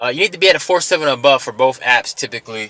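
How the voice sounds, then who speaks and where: A man's medium-pitched voice moves along at a fairly quick pace. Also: dry, close sound with no echo. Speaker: rideshare driver, vlogger. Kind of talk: casual tutorial vlog. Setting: self-recorded on camera. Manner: fast; casual, filler-heavy.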